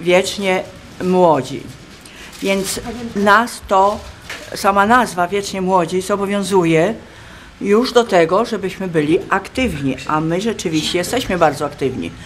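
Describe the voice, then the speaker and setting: The speech moves at a fairly slow pace with long, frequent pauses and ordinary pitch variation. Light background noise is present. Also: woman. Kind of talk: interview answer. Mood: calm, proud. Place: hall. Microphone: phone near.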